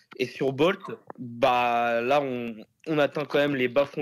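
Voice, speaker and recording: At a very slow pace, a man is speaking. He keeps a medium pitch and fairly even intonation. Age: 20s. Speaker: private hire driver. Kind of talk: casual interview.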